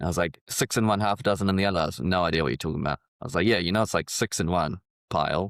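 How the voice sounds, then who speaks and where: A man with a very deep, low pitch and ordinary pitch variation talks at a very fast pace, recorded very cleanly against a silent background with a dry, close sound and no echo. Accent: New Zealand. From New Zealand, Auckland. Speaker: civil engineer and rapper. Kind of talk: casual chat. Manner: mumbling.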